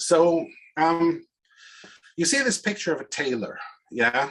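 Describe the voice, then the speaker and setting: The speaker talks at a fairly slow pace with a Swiss accent. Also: man. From Switzerland. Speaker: organizational consultant and speaker. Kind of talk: presentation talk.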